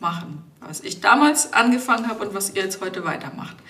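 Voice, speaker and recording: Noticeable background noise and audible room echo surround this woman's voice. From Germany, Lower Franconia (Rhön, Bavaria). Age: 30s. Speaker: biosphere reserve administrator, geographer. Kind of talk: interview.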